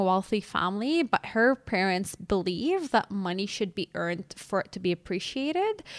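A woman with a plain, everyday voice speaks at medium pitch and a moderate pace. The sound is dry and close with no echo. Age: 30s. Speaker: podcast co-host and financial therapist. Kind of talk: casual educational chat.

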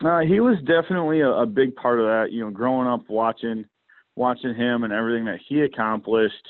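With an American accent and a normal speaking voice, a man talks fairly quickly at medium pitch with ordinary pitch variation. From Kalamazoo, Michigan. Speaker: professional bass angler. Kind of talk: casual interview chat.

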